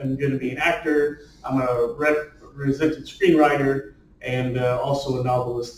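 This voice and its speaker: A fairly slow, fairly even delivery from a man with a fairly high pitch. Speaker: screenwriter and novelist. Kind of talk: talk to a writers' group. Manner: loud; rambling with many fillers.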